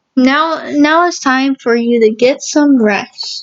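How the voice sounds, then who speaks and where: Putting on a character voice, a woman talks at a high pitch and a fairly slow pace. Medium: read story. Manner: gentle, motherly.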